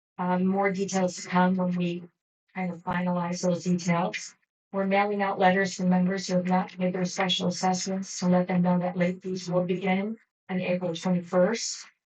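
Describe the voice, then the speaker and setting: A woman speaks at a moderate pace in a medium-pitched, monotone voice with flat intonation, with music playing in the background. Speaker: general manager of homeowners association. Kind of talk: board meeting report. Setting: boardroom meeting.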